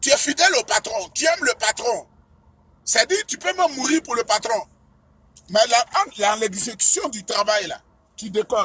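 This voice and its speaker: Pitched extremely high, a man speaks in a raised, projected voice with lively intonation and long, frequent pauses. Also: moderate pace. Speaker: political speaker. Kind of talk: political speech.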